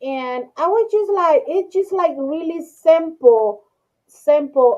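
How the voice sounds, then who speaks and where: A woman speaks very slowly with a strong non-native accent, her pitch swinging very widely. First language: not English. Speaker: crochet video creator. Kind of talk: casual group chat. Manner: halting, repeats words.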